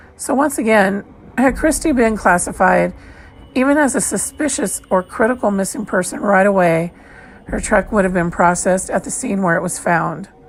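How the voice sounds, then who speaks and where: Her intonation is lively as a woman talks through noticeable background noise. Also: medium pitch for a woman, moderate pace. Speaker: true crime podcast host. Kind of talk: scripted narration.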